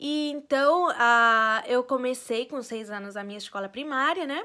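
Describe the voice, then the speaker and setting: Raised and projected, the voice carries a Spanish accent and moves at a fairly slow pace with ordinary pitch variation. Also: woman. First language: Spanish (speaking Portuguese). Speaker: vlogger. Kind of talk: casual personal vlog. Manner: hesitant, many fillers.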